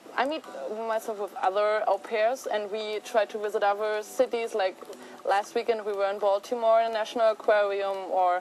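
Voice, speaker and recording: A woman with a German accent, fairly high in pitch, at a moderate pace. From Germany. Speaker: au pair. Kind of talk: testimonial interview.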